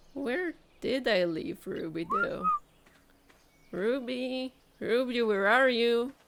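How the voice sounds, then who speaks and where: A woman speaks at a very slow pace with high pitch and lively intonation, leaving long, frequent pauses. Noticeable background noise runs under her voice. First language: not English (language with gendered nouns ending in A or O). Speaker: video game streamer. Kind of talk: gameplay commentary. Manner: animated.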